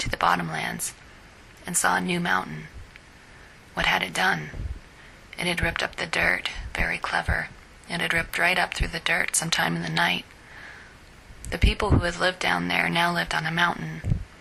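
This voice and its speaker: A woman whispers at a fairly quick pace with long, frequent pauses over noticeable background noise. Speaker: fiction writer. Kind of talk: reading her own short story.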